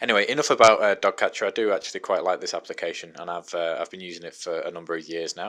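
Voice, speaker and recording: A man's voice comes through in a very clean recording against a silent background. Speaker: podcaster demonstrating apps. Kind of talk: tutorial. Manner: fast; casual, hesitant with fillers.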